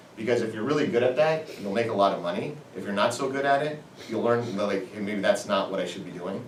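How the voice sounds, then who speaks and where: A man talks very fast in an energetic tone at a medium pitch with ordinary pitch variation, with audible room echo and noticeable background noise. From US Midwest, Indianapolis. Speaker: entrepreneur. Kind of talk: guest lecture.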